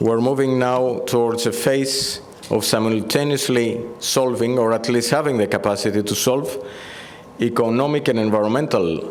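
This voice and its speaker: A man with a Greek accent at a medium pitch and moderate pace, amid audible room echo and noticeable background noise. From Greece, Athens. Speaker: EU agriculture policy director. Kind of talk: conference speech.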